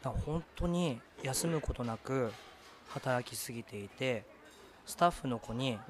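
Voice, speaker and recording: A man with a medium pitch talks at a very slow pace, leaving long, frequent pauses, with ordinary pitch variation. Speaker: podcast co-host. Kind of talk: casual chat.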